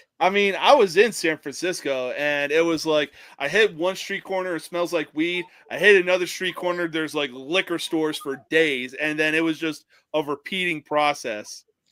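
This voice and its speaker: A man with a New Jersey accent speaks at a moderate pace and fairly high pitch, his tone bright and sharp with ordinary pitch variation, on a very clean recording with a silent background. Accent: New Jersey accent, noticeable. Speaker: podcast co-host. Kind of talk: casual chat.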